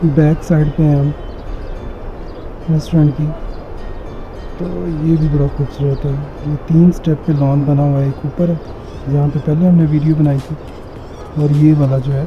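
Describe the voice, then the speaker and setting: A man's fairly high-pitched voice over music in the background. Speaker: travel vlogger. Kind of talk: travel vlog. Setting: hotel room, then outdoors on lawn. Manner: animated.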